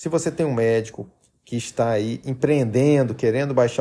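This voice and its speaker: A man talks at a moderate pace with a medium pitch, ordinary pitch variation and a dark, mellow tone. The recording is very clean, with a silent background. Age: 30s. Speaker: health podcaster. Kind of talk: persuasive monologue.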